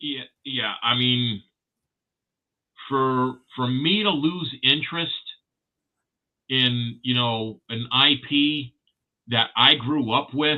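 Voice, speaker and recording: Using ordinary pitch variation, a man speaks at a medium pitch and very slow pace with long, frequent pauses. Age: 60s. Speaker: collectibles livestream host. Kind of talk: casual chat. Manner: halting.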